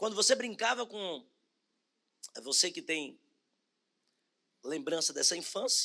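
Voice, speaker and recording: Using a raised, projected voice, a man with a high pitch and a bright, sharp tone swings very widely in pitch, moving at a fairly slow pace with long, frequent pauses. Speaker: bishop preaching. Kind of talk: sermon. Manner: slow, deliberate.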